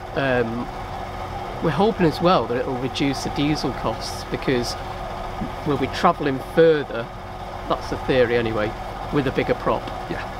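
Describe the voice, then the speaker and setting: A man speaks at a moderate pace with long, frequent pauses, the sound dry with no echo and noticeable background noise behind him. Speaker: vlogger, narrowboat liveaboard. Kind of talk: casual vlog chat. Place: boat.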